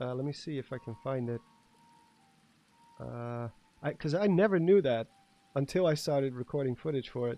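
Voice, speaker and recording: Against background music, the speaker uses a Dutch accent at a moderate pace, with ordinary pitch variation and long, frequent pauses. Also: man, medium pitch for a man. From Netherlands. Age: 30s. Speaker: gaming streamer. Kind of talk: casual live stream commentary. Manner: animated.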